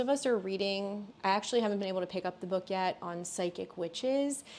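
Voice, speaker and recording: A plain, everyday voice from a woman at medium pitch, moderate pace and ordinary pitch variation, on a very clean recording with a silent background. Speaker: tarot reader and medium. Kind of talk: tarot reading monologue; announcements. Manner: casual.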